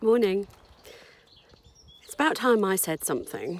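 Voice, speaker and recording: Very wide pitch swings at a fairly slow pace, over noticeable background noise. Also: woman. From Oxford, England; later raised in South Africa. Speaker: anti-racism activist. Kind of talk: personal story told to camera. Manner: casual, conversational.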